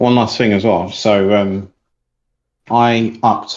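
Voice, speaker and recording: In a quiet background, a man talks with fairly even intonation. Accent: British. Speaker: community member asking question. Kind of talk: Q&A in online community call. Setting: Discord voice stage.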